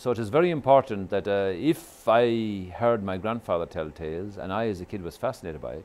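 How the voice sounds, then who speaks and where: At a fairly quick pace with hardly any pauses, a man with an Irish accent and a fairly low pitch speaks with lively intonation and big swings in loudness. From Ireland. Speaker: storyteller. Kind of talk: interview answer.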